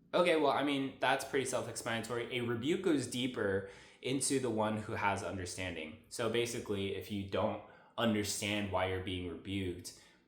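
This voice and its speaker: An animated man at a medium pitch, fairly quick pace and ordinary pitch variation, with audible room echo. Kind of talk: devotional monologue. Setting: at a friend's house, on a couch. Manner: fast.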